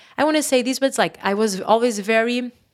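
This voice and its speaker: In a Portuguese accent, a woman talks at a fairly quick pace. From Portugal, Porto. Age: 30s. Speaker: yoga teacher. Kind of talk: interview.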